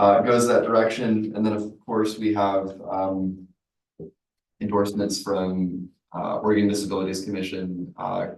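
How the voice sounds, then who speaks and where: A man speaks at a moderate pace in a fairly low voice with flat, monotone intonation. The room has audible echo. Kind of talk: public comment at committee meeting.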